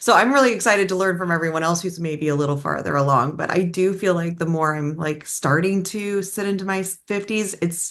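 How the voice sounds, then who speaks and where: This woman has an ordinary speaking voice, fairly low in pitch with ordinary pitch variation. She talks at a fairly quick pace with hardly any pauses. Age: 50s. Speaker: business coach. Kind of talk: panel discussion.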